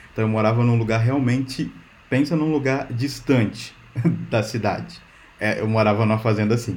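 Speaking at a fairly quick pace, a man uses an ordinary speaking voice with a fairly low pitch and fairly even intonation. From Brazil, Minas Gerais (rural). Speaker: software engineer. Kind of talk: casual interview chat.

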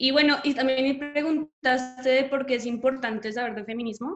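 Her pitch is high for a woman. The intonation stays fairly even. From Colombia. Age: young. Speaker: graphic designer and activist. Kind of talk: casual chat.

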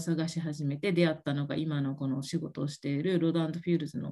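The woman's pitch is fairly low and her tone dark and mellow. She talks at a fairly quick pace. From Japan, Okinawa. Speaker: MLM beauty consultant, former occupational therapist. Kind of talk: casual interview.

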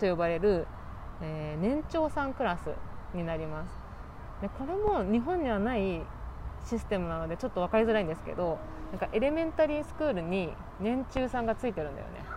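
Amid audible room echo, a woman with a medium pitch talks fairly quickly, her voice making very wide pitch swings. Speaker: podcast host. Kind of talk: casual chat. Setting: outdoors.

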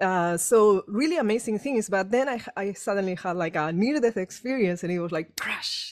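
Using hardly any pauses, a woman with a Spanish accent talks at a moderate pace and medium pitch with lively intonation. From Spain. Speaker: energy healer and author. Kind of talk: casual chat. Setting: video call. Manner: animated.

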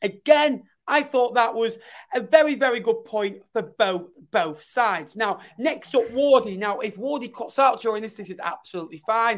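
The speaker has a northern English accent. The pace is moderate. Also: very clean recording, silent background. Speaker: football podcast host. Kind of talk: casual chat.

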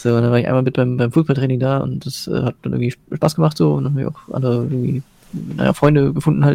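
Very fast speech comes from a man. His voice is medium-pitched and varies in pitch in an ordinary way. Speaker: gamer and commentator. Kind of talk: casual chat. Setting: live Twitch stream.

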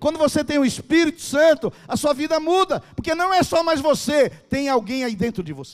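A man speaks at an extremely high pitch with hardly any pauses. His tone is animated, with ordinary pitch variation. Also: moderate pace. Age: 60s. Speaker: pastor. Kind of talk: sermon. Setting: church stage with audience.

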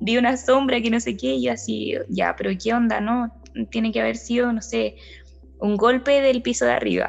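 A woman with a Chilean accent at a fairly slow pace, with noticeable background noise. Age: 20s. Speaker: nursing technician. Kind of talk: interview. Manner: halting.

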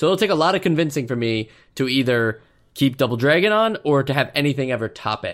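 Fairly high for a man, this voice moves at a very fast pace with lively intonation. The recording is very clean, with a silent background. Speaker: podcast host. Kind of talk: casual chat.

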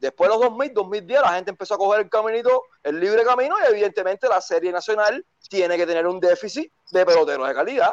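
A man talks at a very fast pace in a high pitch with lively intonation. The sound is dry and close, with no echo. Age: 40s. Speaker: caller. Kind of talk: heated debate.

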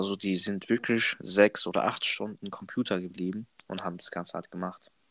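A man with a fairly low voice talks at a fairly quick pace in a flat monotone, recorded dry and close with no echo. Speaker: trainee apprentice, podcast co-host. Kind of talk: casual chat.

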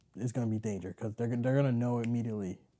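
In a very clean recording with a silent background, a man talks at a medium pitch in a dark, mellow tone. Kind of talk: casual chat. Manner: fast talker.

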